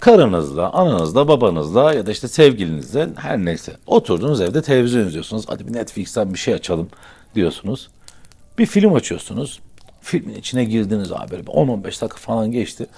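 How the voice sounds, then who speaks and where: Speaking fairly quickly, a man with a medium pitch makes very wide pitch swings. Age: 40s. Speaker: YouTuber. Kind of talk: casual monologue to camera. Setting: indoors by a fireplace. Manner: conversational, animated.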